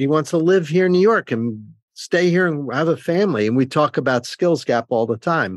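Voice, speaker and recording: Lively intonation comes at a moderate pace, with a dry, close sound with no echo over a quiet background. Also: man. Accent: New Jersey. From New Jersey. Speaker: cybersecurity executive and professor. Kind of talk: interview.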